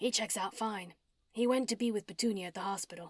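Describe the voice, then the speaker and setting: Put-on, raspy character voice from a woman at medium pitch, very fast, with fairly even intonation and a dry, close sound with no echo. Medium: read story.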